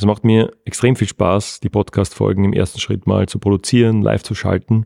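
On a very clean recording with a silent background, a man with a fairly low pitch and a dark, mellow tone speaks at a fairly quick pace with fairly even intonation, dry and close with no echo. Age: 40s. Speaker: podcast host, online marketing consultant. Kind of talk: interview conversation; scripted outro. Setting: fitness studio.

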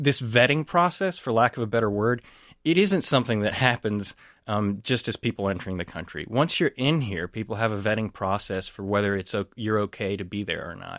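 Recorded very clean with a silent background and a dry, close sound with no echo, a man speaks in a normal speaking voice at a medium pitch, a fairly quick pace and with lively intonation. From Texas. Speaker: anthropologist and professor. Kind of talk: radio interview, analysis.

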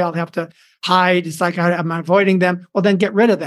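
The background is quiet as a man with a high pitch talks fairly quickly in a monotone, flat way. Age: 70s. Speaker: professional speaker and storytelling coach. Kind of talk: casual interview with storytelling.

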